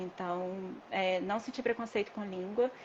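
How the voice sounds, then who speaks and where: With an ordinary speaking voice, a woman keeps a moderate pace and medium pitch, her intonation fairly even. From Brazil. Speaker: dispensary worker, former massage therapist. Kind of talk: interview.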